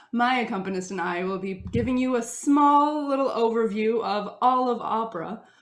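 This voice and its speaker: Amid audible room echo, a woman with an American accent talks at a moderate pace with ordinary pitch variation. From Russia. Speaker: opera singer. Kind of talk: concert introduction. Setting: video recording. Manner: animated.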